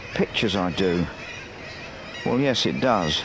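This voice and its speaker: The voice moves in very wide pitch swings. Audible room echo and noticeable background noise fill the recording. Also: man. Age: 70s. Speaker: painter. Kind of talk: documentary narration.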